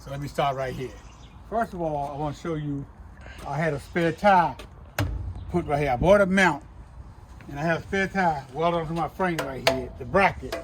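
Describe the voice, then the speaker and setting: A man's fairly high voice at a moderate pace, with big swings in loudness, long, frequent pauses and noticeable background noise. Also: ordinary pitch variation. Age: 60s. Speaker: junk removal worker. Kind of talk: equipment walkthrough. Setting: outdoors. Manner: casual, blunt.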